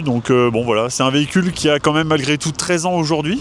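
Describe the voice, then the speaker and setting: A man talks while noticeable background noise sits behind him. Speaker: car owner. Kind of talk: interview. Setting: outdoors. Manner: hesitant, many fillers.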